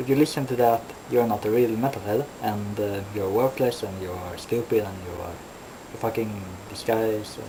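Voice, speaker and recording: Someone with a non-native accent speaks at a moderate pace against noticeable background noise. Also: man. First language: not English. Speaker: metal vlogger. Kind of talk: casual vlog monologue. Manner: halting, many fillers.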